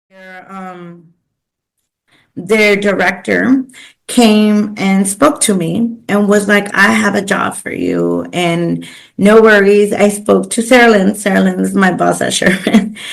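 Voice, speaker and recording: A woman speaks with a Spanish accent at a very slow pace. Her loudness swings widely. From Los Angeles, East LA. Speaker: pro bono coordinator, business owner. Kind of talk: podcast interview. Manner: casual with many fillers.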